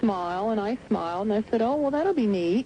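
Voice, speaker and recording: Speaking at a fairly quick pace, a woman with a normal speaking voice and an American accent keeps a fairly high pitch. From Southern United States. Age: 30s. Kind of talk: radio interview answer. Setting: phone line.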